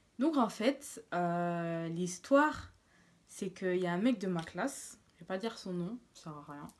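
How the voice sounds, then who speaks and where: Her intonation is lively, and this woman talks at a very slow pace with a medium pitch. Her loudness takes big swings. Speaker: beauty vlogger. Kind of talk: storytime vlog. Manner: speaking quietly; casual, hesitant with fillers.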